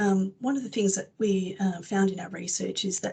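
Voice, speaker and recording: The voice is somewhat breathy, with an Australian accent. It moves at a fairly quick pace. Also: woman. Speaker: publisher's education representative. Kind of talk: product presentation webinar. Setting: webinar. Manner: fast.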